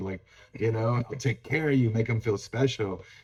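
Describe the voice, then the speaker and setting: Somewhat breathy, medium-pitched speech from a man with an American accent and fairly even intonation. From North County San Diego, California. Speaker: podcast co-host. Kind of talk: casual chat.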